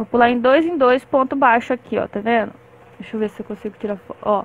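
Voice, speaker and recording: A woman talks at a moderate pace, her high voice holding a fairly even intonation. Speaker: crochet teacher. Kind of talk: tutorial. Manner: talkative, chatty. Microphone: phone near.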